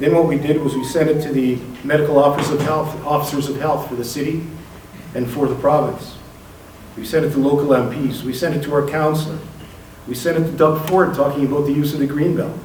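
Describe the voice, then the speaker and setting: A man speaks very fast at a fairly high pitch, his intonation monotone and flat. The room echo is audible and background noise is noticeable. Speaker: community organizer. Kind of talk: public speech. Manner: determined.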